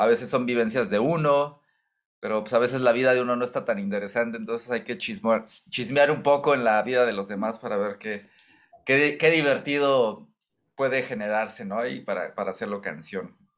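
The speaker is a man with a medium pitch. The background is quiet. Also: ordinary pitch variation, moderate pace. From Mexico, Michoacán. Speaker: singer-songwriter; interviewee. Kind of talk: interview. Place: home room.

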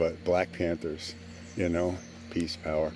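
Music plays in the background, and the sound is dry with no echo. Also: man. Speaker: video journal storyteller. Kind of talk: casual vlog chat. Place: garden. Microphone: phone near.

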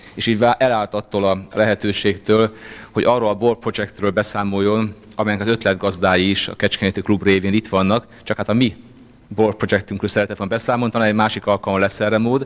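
This man talks at a fairly quick pace with a fairly low pitch. His intonation is monotone and flat. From Hungary. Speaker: session chair at a club meeting. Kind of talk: formal speech to a meeting. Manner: formal. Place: meeting room. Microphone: handheld.

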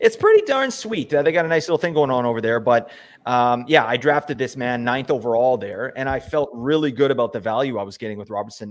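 His pace is fairly quick and his pitch varies in an ordinary way as this man talks. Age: 40s. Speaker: fantasy hockey podcast host. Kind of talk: casual chat. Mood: relaxed, analytical. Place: home room. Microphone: studio mic.

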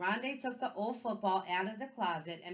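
Plain reading aloud with ordinary pitch variation fills the clip.

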